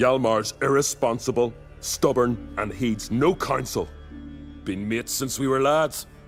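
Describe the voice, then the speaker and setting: A gruff, put-on character voice with lively intonation at a moderate pace, over clear music in the background. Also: man, medium pitch for a man. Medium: video game. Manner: gruff, colloquial.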